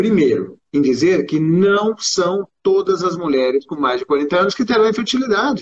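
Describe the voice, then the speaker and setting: A man speaks with a Brazilian accent in a high pitch and lively intonation. His moderate pace has hardly any pauses. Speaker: gynecologist. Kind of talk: interview. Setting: live video stream.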